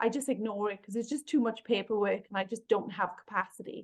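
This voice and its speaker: In a Welsh accent, a woman speaks at a fairly high pitch and a fairly quick pace, with fairly even intonation. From Wales. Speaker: workplace bullying consultant and author. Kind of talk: podcast interview.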